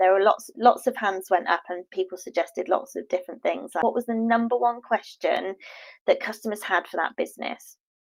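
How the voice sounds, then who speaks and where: With ordinary pitch variation, a woman of medium pitch talks at a fairly quick pace. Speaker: marketing consultant. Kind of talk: live stream Q&A. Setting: live online broadcast.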